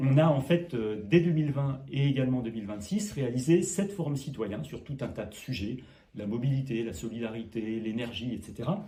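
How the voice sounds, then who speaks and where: A man speaks with a dark, mellow tone, somewhat breathy, and lively intonation. Room echo is audible. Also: medium pitch for a man, moderate pace. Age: 60s. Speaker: mayor, local politician. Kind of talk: interview.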